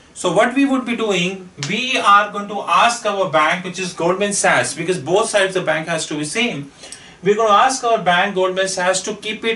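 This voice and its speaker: A man raises and projects his high-pitched voice, speaking at a fairly slow pace with ordinary pitch variation. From India. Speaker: finance consultant; finance trainer. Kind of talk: lecture. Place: classroom. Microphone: camera far.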